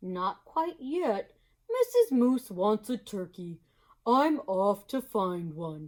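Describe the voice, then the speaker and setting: Using a put-on character voice, a woman speaks at a very slow pace with very wide pitch swings. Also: fairly high pitch for a woman. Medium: read story. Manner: warm, hearty.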